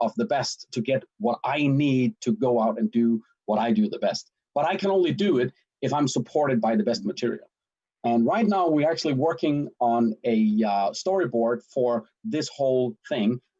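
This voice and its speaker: With a Danish accent, a man talks at a moderate pace in a fairly high pitch with very wide pitch swings, a dark, mellow tone and very even loudness, recorded dry and close with no echo. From Denmark. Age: 50s. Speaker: sales and marketing director. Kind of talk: livestream self-introduction. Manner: animated.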